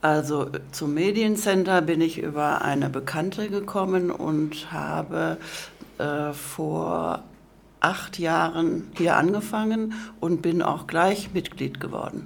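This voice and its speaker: A woman's very slow, fairly low voice with vocal fry and audible room echo. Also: ordinary pitch variation. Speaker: course participant. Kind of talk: interview.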